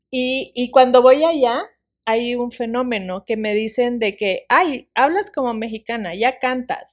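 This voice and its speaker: Her high pitch carries ordinary pitch variation as a woman speaks at a fairly slow pace on a very clean recording with a silent background. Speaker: author and podcast guest. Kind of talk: interview, life testimony. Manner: drops her s sounds.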